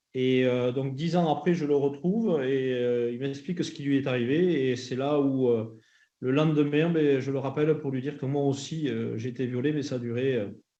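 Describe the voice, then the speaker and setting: A man speaks in a southwestern French accent at a moderate pace. His pitch is fairly high, and room echo can be heard. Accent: southwestern French (Landes). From southwestern France, Landes. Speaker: association director, former rugby player, abuse survivor. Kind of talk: testimony at parliamentary hearing. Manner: halting, many hesitations.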